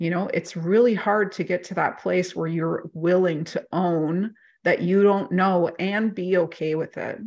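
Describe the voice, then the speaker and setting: With an ordinary speaking voice, a woman talks at a fairly slow pace and a fairly low pitch, hardly pausing. Her intonation is fairly even against a quiet background. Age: 40s. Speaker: life coach or mentor. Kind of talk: casual interview chat.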